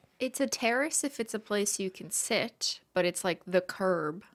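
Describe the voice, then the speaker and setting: A woman speaks in a plain, everyday voice, with lively intonation at a fairly slow pace. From Canada. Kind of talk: casual podcast conversation.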